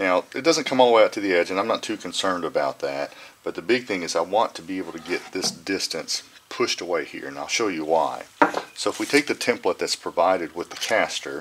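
This man races at a very fast pace, his loudness swinging widely, with noticeable background noise around him. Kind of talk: tutorial. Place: workshop.

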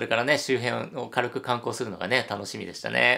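At a moderate pace against a quiet background, a man talks with vocal fry and a bright, sharp tone. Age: 50s. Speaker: hotel YouTuber. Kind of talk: solo video commentary. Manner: animated. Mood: cheerful, friendly. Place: home room.

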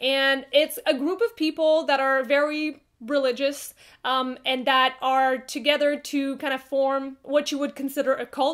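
With a French Canadian accent, a woman with a high pitch talks at a fairly slow pace with fairly even intonation and hardly any pauses against a quiet background. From Quebec, Canada. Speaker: book reviewer. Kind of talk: casual talk to camera. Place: home room.

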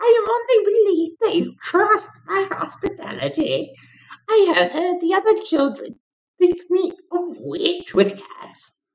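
A man performs a put-on character voice at an extremely high pitch. He talks at a fairly slow pace. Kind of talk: comic overacting. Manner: mock-sweet, comic hostess voice.

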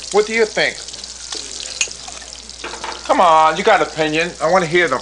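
There is noticeable background noise as a man speaks at a high pitch with ordinary pitch variation. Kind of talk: scripted drama dialogue. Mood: eager, then worried. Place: kitchen.

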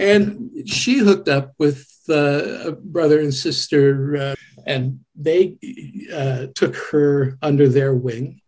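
A man with a Canadian accent talks at a very slow pace. His fairly high-pitched voice is somewhat breathy. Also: ordinary pitch variation. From Canada. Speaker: website administrator, church volunteer. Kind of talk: interview. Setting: video call. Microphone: crackly sound in places.

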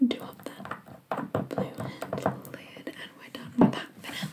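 Soft-spoken whispering at a very slow pace over loud background noise. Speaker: nail painting vlogger. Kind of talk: casual vlog chat. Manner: soft close whisper. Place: home room. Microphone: earbuds.

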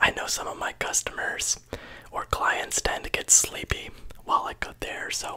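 A man whispers at a moderate pace. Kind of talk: soft role-play chat to the viewer. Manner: soft-spoken ASMR barber voice, close-miked. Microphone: studio mic.

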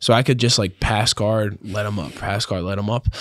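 Over a quiet background, a man speaks at a fairly quick pace in a dry sound with no echo. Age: young. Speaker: professional grappler; podcast guest. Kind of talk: casual chat. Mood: relaxed, conversational. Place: studio. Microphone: studio mic.

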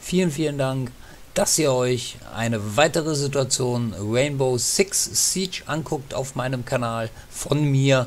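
Over noticeable background noise, a man speaks very slowly. His medium pitch shows ordinary variation. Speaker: gaming YouTuber. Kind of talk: let's play commentary. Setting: home recording with facecam. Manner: animated.

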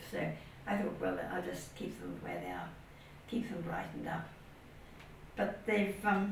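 A woman with long, frequent pauses, audible room echo and light background noise. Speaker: interviewee sharing family history. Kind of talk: interview answer. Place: garden.

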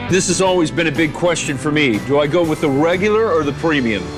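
Speech comes at a very fast pace with ordinary pitch variation. Clear music plays in the background. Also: man, fairly high pitch for a man. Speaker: television host, news anchor and former radio disc jockey. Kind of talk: casual on-camera host banter and news anchor intro. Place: street.

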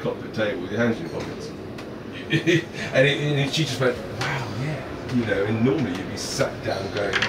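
A man at a moderate pace with ordinary pitch variation, under loud background noise. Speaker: boat salesman. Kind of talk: informal sales talk during tour.

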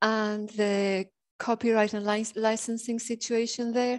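With a Spanish accent, a woman speaks at a fairly slow pace and a fairly high pitch against a quiet background. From Spain. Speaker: academic librarian. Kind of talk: conference presentation. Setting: video call. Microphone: video call.

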